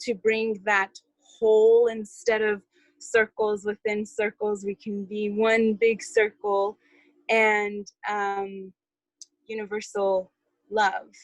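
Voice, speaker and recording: A woman speaks at a very slow pace with a fairly high pitch and monotone, flat intonation. The sound is dry and close, with no echo. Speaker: community call participant. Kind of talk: group call report-back. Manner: halting, many fillers.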